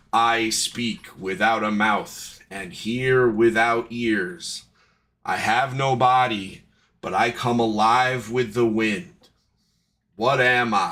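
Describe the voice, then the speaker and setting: In a put-on character voice, a man talks at a very slow pace with medium pitch and fairly even intonation. The recording is very clean, with a silent background. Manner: eerie.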